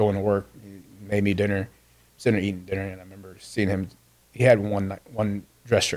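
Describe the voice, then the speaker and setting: A man talks at a very fast pace in a Texan accent. His pitch sits fairly low. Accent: Texan American English. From Houston, Texas (born in Vietnam, moved as a child in 1975). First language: Vietnamese. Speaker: military veteran. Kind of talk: interview.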